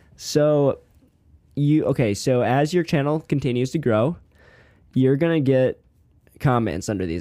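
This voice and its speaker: This man's voice has a dark, mellow tone and a fairly high pitch. He talks at a moderate pace with ordinary pitch variation. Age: 20s. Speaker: college student. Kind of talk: casual chat.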